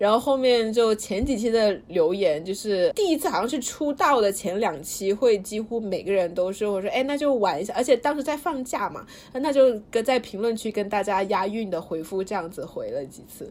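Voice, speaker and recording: Speaking at a moderate pace with hardly any pauses, a woman uses lively intonation and a fairly high pitch. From Suzhou. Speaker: student podcast host. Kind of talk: reading aloud diary; casual chat. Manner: energetic.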